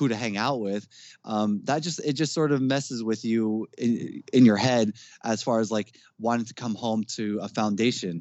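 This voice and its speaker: A man with a New Jersey accent talks at a medium pitch. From New Jersey, Jersey City. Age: 30s. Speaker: metal band vocalist. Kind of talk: casual chat.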